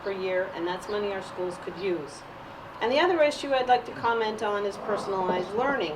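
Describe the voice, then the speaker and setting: A woman talks at a fairly quick pace, her fairly high pitch showing ordinary variation. Audible room echo and noticeable background noise fill the recording. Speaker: parent giving public comment. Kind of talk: public comment at meeting. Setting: school committee meeting, recorded.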